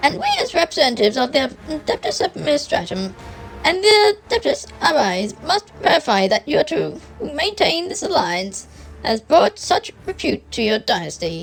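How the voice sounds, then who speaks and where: With faint music behind it, a put-on character voice is delivered at a moderate pace. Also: woman. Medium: virtual streamer. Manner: stern, clipped.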